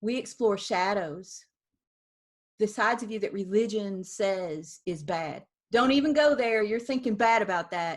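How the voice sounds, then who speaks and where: In a very clean recording with a silent background, a woman uses a normal speaking voice at a medium pitch, talking at a fairly slow pace with lively intonation. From US South. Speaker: founder of a spiritual art practice. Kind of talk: interview.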